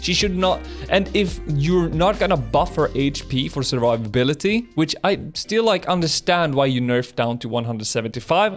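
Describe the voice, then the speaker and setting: A man talks at a moderate pace in a fairly high pitch, with lively intonation and a non-native accent. He hardly pauses at all, and music plays in the background. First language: not English. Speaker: gaming content creator. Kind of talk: casual unscripted commentary.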